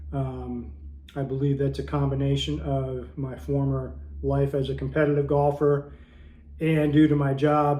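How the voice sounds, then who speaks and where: Speaking at a fairly slow pace, a man's words ring with audible room echo. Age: 60s. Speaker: fitness YouTuber. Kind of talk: tutorial. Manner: casual with frequent filler words.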